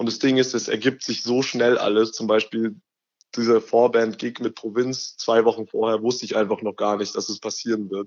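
Speaking at a moderate pace, a man keeps a fairly low pitch with little pitch movement.

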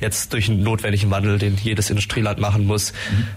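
Noticeable background noise runs behind this recording. A man speaks with a fairly low pitch and monotone, flat intonation. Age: 20s. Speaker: student climate activist. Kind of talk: radio interview. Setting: radio studio.

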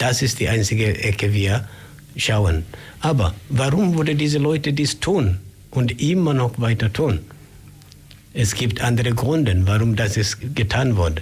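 A man speaks at a fairly slow pace with a medium pitch, lively intonation, very even loudness, and long, frequent pauses. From Kenya, Migori County. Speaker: human rights volunteer. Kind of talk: radio interview. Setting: radio studio. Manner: halting.

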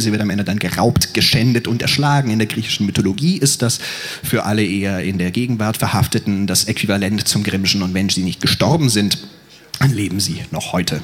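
Over noticeable background noise, a man with a fairly low pitch and ordinary pitch variation talks at a very fast pace. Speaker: poetry slammer. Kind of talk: spoken word poetry, rhymed verse performance. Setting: stage with audience, outdoors at university festival. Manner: theatrical, rhythmic, dramatic delivery.

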